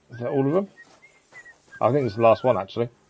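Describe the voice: A man with a medium pitch talks fast, his lively intonation carrying a slightly husky edge and a slightly mellow tone.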